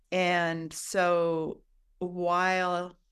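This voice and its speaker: The recording of a woman talking is very clean, with a silent background. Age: 60s. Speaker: midwife. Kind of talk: interview.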